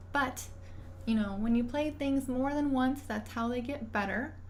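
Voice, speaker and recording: A woman speaks at a moderate pace. Audible echo fills the room. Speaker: violinist streamer. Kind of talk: casual livestream chat.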